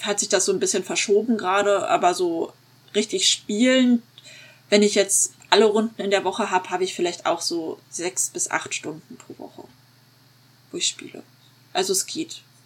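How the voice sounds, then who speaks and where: Over noticeable background noise, a woman speaks at medium pitch and a moderate pace, with lively intonation, big swings in loudness and long, frequent pauses. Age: 30s. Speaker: tabletop roleplayer and game master. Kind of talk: casual interview chat.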